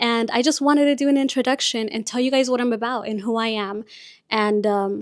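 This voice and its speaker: With a Spanish accent, a woman speaks at a high pitch and fairly even intonation in a very clean recording with a silent background. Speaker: podcast host and content creator. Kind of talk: casual chat. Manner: chatty.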